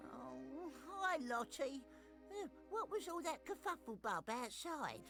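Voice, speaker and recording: Clear music plays in the background as a cartoonish character voice speaks at a fairly slow pace. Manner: chatty, playful with made-up words.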